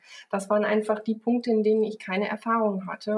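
A woman with a fairly high, somewhat breathy voice talks very fast in a monotone, flat delivery. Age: 30s. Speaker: company founder and managing director. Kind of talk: interview.

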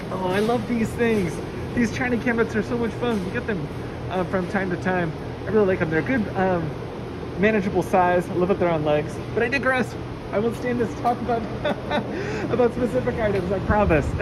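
A woman talks fairly quickly while loud background noise plays. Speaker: warehouse staff guide. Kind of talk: walking tour commentary. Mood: enthusiastic, friendly. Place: shop. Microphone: phone near.

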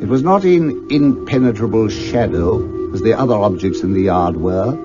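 Music plays in the background while someone speaks at a very slow pace. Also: man. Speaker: actor. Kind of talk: classic radio story narration.

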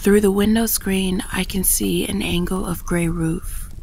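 Noticeable background noise surrounds a woman who is soft-spoken. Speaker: poetry reader. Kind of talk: poetry reading.

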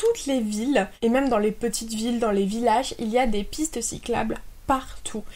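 A woman is speaking. Her pace is moderate. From France. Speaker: YouTuber; expat vlogger. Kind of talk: vlog monologue.

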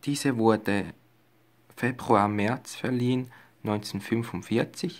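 His intonation is fairly even. The voice belongs to a man. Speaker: medal collector. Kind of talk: casual talk to camera. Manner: monotone, flat. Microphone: phone near.

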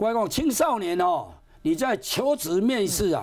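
An animated tone comes across against a quiet background. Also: man. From Taiwan. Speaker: police officer. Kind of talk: TV interview explaining scams. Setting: TV studio. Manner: animated, acts out scam dialogues. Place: studio. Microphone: lapel.

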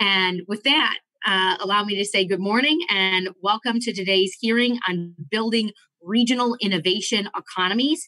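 Against a quiet background, a woman speaks in a bright, sharp tone. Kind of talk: formal opening statement. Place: office. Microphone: video call.

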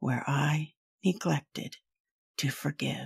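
This woman talks very slowly. The sound is dry and close with no echo, and the recording is very clean against a silent background. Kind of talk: spoken word poem, alternating stanzas in a duet reading.

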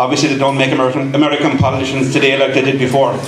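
Noticeable noise runs behind a man as he talks. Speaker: event MC. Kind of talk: after-dinner speech. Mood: warm, humorous. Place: hall. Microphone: podium.

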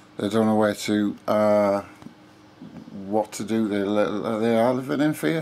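A man talks at a very slow pace. His voice sits fairly low. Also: ordinary pitch variation. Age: 50s. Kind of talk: casual talk to camera. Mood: earnest, calm. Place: home room. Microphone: phone near.

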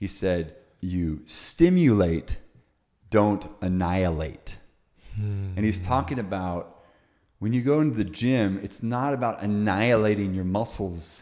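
Against a quiet background, a man talks at a moderate pace in a fairly low pitch. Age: 40s. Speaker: fitness coach and podcast host; fitness coach, podcast host. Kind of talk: interview conversation. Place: home room. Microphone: studio mic.

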